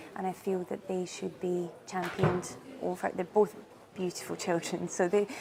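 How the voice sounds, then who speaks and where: A woman at medium pitch in a Scottish accent, monotone and flat at a moderate pace, with noticeable background noise. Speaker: marketing company CEO. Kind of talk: interview answer.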